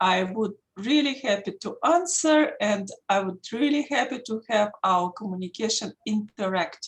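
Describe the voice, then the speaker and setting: A somewhat breathy woman at a fairly slow pace, her pitch swinging very widely. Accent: strong Russian. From Russia, Saint Petersburg. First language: Russian. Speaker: intellectual property attorney. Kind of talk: lecture.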